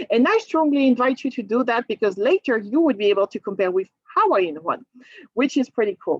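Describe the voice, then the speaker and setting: Speaking in a French accent at a moderate pace, a woman with a high pitch makes very wide pitch swings in a dry, close sound with no echo. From France, Normandy. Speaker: cruise line sales presenter. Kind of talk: sales presentation. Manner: animated.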